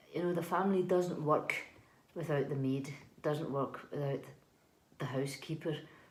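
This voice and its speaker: Speaking with a Scottish accent, the voice is somewhat breathy, with fairly even intonation and a moderate pace. Long, frequent pauses break it up, and audible room echo is present. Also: woman, very deep, low pitch for a woman. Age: 40s. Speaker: housekeeper. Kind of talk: interview. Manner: hesitant, many fillers and repeats.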